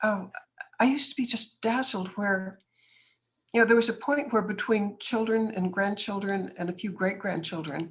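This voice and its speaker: A woman with an American accent speaks in a somewhat breathy voice, her pitch varying in an ordinary way. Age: 70s. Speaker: businesswoman and author. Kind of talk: interview.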